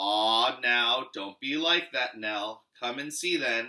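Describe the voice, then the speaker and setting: Using a put-on character voice at a medium pitch, a man speaks at a very slow pace. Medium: read story. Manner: soft, low, folksy.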